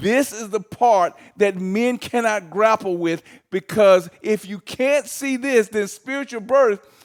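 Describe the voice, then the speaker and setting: Loud and fairly slow, this voice rises and falls with lively intonation. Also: man. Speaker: teacher leading a Bible study. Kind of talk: Bible teaching.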